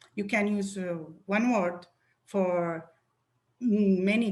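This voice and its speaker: A woman with a medium pitch talks in a somewhat breathy voice, her intonation fairly even. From Syria. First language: Arabic. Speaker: poet. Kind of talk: interview.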